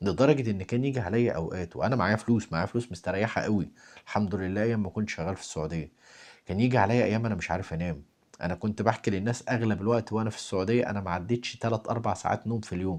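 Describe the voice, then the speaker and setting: At a very fast pace and in an Egyptian accent, the speaker shows ordinary pitch variation over a quiet background. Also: man, fairly low pitch for a man. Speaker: spiritual talk host. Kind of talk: spiritual talk. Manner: soft-spoken.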